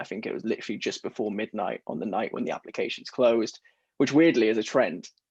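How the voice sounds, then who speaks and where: A man races through his words at a very fast pace, the background quiet. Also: dry, close sound with no echo. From England, Corby (East Midlands). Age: 20s. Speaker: entrepreneur and podcast host. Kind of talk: interview.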